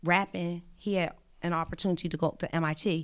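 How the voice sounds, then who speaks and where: Speaking at a fairly quick pace, a woman with a fairly low pitch is heard on a very clean recording with a silent background. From West Philadelphia, US. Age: 40s. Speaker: journalist and reverend. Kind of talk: casual chat.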